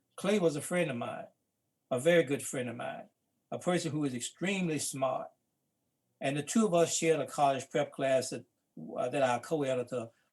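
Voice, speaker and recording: This man speaks with a Mississippi accent. His pitch varies in an ordinary way. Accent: Mississippi Southern US. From US South. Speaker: civil rights veteran and book co-editor. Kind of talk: panel talk. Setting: live-streamed talk.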